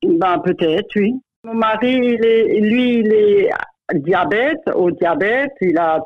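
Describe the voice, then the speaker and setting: Swinging very widely in pitch, a woman speaks from a medium pitch for a woman. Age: 60s. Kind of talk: interview answer.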